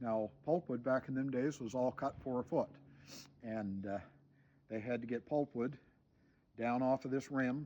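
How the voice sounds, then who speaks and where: Against a quiet background, a man with a Maritime Canadian accent speaks at a moderate pace in a medium pitch with fairly even intonation. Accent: rural Maritime Canadian. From New Brunswick, Canada. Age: 60s. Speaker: homesteader and YouTuber. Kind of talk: outdoor show-and-tell explanation. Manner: casual with frequent fillers and repetitions.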